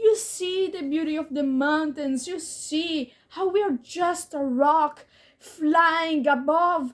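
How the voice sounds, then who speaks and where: This woman has a high-pitched voice and a non-native accent. She speaks at a very slow pace. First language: not English. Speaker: YouTuber. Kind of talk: casual monologue. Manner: halting.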